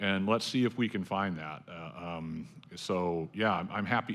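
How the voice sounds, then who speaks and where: A man with an ordinary speaking voice talks at a fairly low pitch with fairly even intonation. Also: very clean recording, silent background. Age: 50s. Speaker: professor. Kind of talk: panel discussion.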